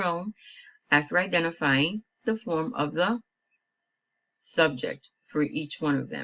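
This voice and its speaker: A woman talks in a plain, everyday voice at fairly low pitch. Her pace is fairly slow and her intonation lively. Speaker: Spanish teacher. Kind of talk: tutorial.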